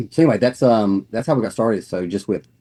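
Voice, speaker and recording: A man's dark, mellow tone in a Southern US accent, with ordinary pitch variation. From North Carolina. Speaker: network marketing business owner. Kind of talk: casual interview.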